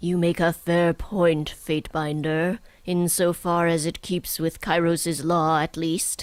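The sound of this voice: In a put-on character voice at middle pitch, the speaker delivers lines at a fairly slow pace with monotone, flat intonation.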